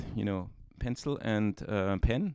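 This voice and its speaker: Speaking with a German accent, a man talks at a fairly slow pace in a dry, close sound with no echo. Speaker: comic artist. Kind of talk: tutorial. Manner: hesitant, many fillers.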